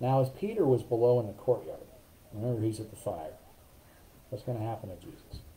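A man with a dark, mellow, somewhat breathy tone speaks at a fairly quick pace. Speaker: pastor leading Bible study. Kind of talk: Bible study teaching. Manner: casual with many fillers. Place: home room. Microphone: webcam.

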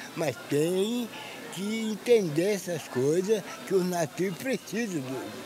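Speech with lively intonation comes at a very slow pace over noticeable background noise. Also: man, high pitch for a man, dry sound with no echo. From Minas Gerais, Brazil. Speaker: interviewee. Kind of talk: interview answer.

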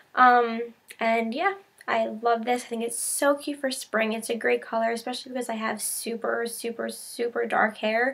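The pace is moderate. A woman talks with fairly even intonation. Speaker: haul vlogger. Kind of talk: casual vlog chat. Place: home room. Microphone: webcam.

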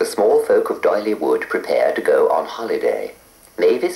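A natural voice reading aloud

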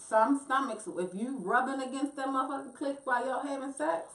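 Amid audible room echo, a woman with a high voice speaks in an animated tone at a moderate pace, with ordinary pitch variation and hardly any pauses. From Baltimore, US. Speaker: singer and reality TV personality; podcast guest. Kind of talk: casual chat. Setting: studio. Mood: candid, lively banter. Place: studio.

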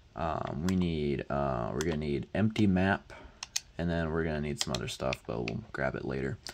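Soft-spoken and very deep in pitch, a man talks at a moderate pace with ordinary pitch variation over noticeable background noise. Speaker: Minecraft tutorial creator. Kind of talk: tutorial. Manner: soft-spoken, talking quietly; halting, many fillers.

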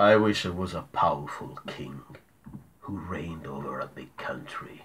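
A man's put-on character voice, very deep and low, with lively intonation, big swings in loudness and a moderate pace. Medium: read story.

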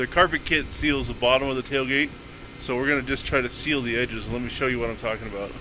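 There is noticeable background noise as a man talks at a very fast pace. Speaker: truck owner vlogger. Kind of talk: casual vlog tutorial. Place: street. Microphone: phone near.

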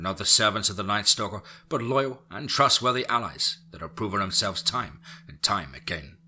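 Putting on a character voice, a man talks at a moderate pace with lively intonation, a fairly low pitch, and a bright, sharp tone with a slightly husky edge.

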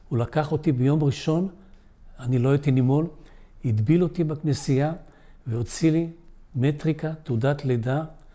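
Fairly high-pitched for a man, his voice has a dark, mellow tone, ordinary pitch variation and a moderate pace. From Israel, immigrated from Poland at age 7. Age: 80s+. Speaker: Holocaust survivor. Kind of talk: testimony. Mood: solemn, reflective. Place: home room. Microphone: lapel.

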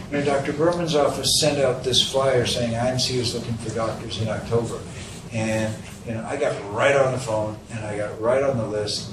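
Against clear background noise, a man talks at a fairly quick pace, medium in pitch with ordinary pitch variation.

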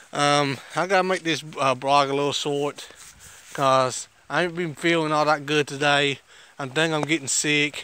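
Over noticeable background noise, a man speaks at a moderate pace with a fairly high pitch and monotone, flat intonation. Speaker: vlogger. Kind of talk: casual vlog.

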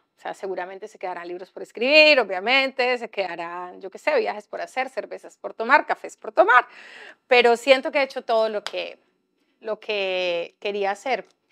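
With a bright, sharp tone and a fairly high pitch, a woman speaks at a moderate pace using lively intonation and big swings in loudness. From Colombia, Bahía Solano (Chocó); Chocó, Colombia. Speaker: writer and activist; speaker. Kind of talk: panel discussion. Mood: calm, reflective. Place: hall. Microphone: lapel.

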